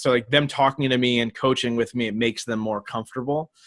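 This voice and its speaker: A man at a very fast pace, dry and close with no echo, on a very clean recording with a silent background. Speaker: podcaster and coach. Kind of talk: interview.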